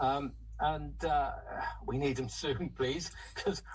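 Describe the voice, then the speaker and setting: A man's voice is heard with noticeable background noise in the recording. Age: 70s. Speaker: choir member and recruiter. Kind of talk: radio interview. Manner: halting.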